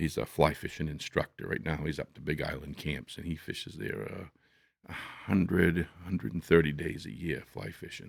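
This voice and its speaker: A man with very deep, low pitch, vocal fry, ordinary pitch variation and big swings in loudness, at a moderate pace. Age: 70s. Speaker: hunting lodge owner and outdoors guide. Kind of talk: casual chat.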